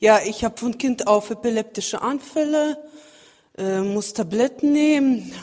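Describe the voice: At a fairly slow pace, a woman speaks with a fairly high pitch, a slightly mellow tone and ordinary pitch variation.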